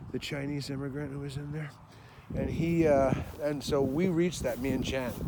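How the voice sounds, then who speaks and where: Speaking at a moderate pace with fairly even intonation, a man with a fairly high pitch is heard through audible room echo and noticeable background noise. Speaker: battlefield walk vlogger. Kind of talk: casual self-talk while walking. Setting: outdoors on a battlefield walk. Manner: loud.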